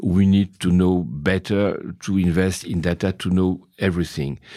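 A man's very deep, low voice with a dark, mellow tone, monotone and flat, at a fairly slow pace in a very clean recording with a silent background. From Brazil, then France from age seven. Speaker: investor and company president. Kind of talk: interview. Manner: halting.

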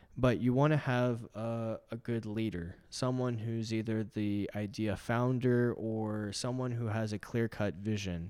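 A normal speaking voice with an American accent, fairly even intonation and a fairly slow pace. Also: man, medium pitch for a man, hardly any pauses. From Texas (from age 15; earlier abroad). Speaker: magazine founder and entrepreneur. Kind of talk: casual interview.

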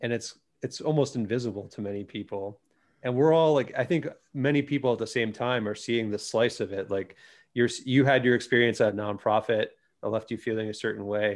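An ordinary speaking voice at a fairly quick pace, with ordinary pitch variation and a quiet background. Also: man, medium pitch for a man. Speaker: podcast host. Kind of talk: casual chat.

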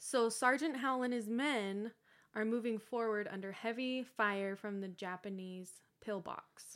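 A woman's fairly high, normal speaking voice at a fairly slow pace with ordinary pitch variation. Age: 20s. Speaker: podcast host. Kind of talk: casual chat.

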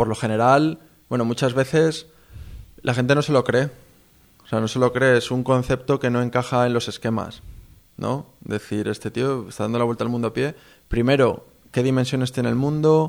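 With a Castilian accent, a man speaks at a moderate pace and medium pitch, with fairly even intonation and long, frequent pauses, on a very clean recording with a silent background. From Spain. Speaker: long-distance walker. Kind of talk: interview.

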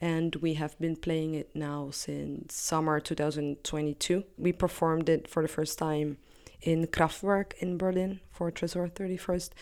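A woman speaks at a fairly slow pace in a fairly low, monotone voice with flat intonation, on a very clean recording with a silent background. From Netherlands and Italy. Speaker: music producer and sound designer. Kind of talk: interview. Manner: halting.

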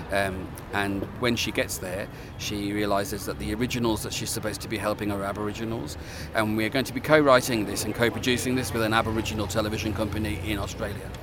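A man's very fast speech, fairly low in pitch with ordinary pitch variation, over noticeable background noise. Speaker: TV producer. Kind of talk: interview.

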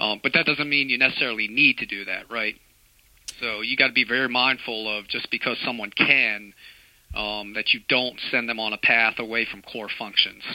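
This man has a plain, everyday voice at a medium pitch, speaking at a moderate pace with fairly even intonation. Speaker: navy fleet master chief. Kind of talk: interview discussion.

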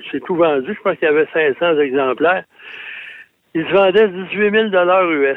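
At a fairly slow pace, a man with a high pitch speaks with long, frequent pauses. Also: ordinary pitch variation. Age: 70s. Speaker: automotive journalist. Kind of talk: radio segment chat.

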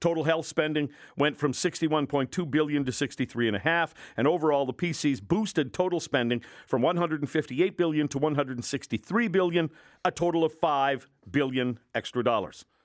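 A man with a Canadian accent has a plain, everyday voice. He talks at a fairly quick pace in a fairly high pitch with ordinary pitch variation. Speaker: radio host. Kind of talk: angry rant, radio commentary. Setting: radio studio. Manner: indignant, sarcastic, forceful.

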